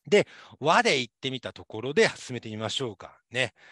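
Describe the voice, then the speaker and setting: Dry with no echo and set against a quiet background, a man's voice moves at a fairly quick pace with lively intonation. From Japan, Saitama. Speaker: university lecturer. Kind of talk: lecture. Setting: online class. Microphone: webcam.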